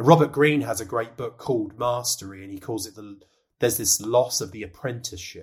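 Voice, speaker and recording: Somewhat breathy, a man talks at a fairly quick pace with big swings in loudness and ordinary pitch variation. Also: medium pitch for a man. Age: 30s. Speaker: executive coach, former cricketer. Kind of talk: podcast interview. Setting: video call.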